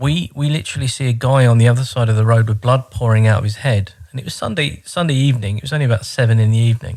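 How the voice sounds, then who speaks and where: The speaker talks very fast with hardly any pauses, in a London accent. The voice is somewhat breathy, with ordinary pitch variation. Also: man, medium pitch for a man. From London (Croydon), England. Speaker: immigrant learner. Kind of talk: casual chat.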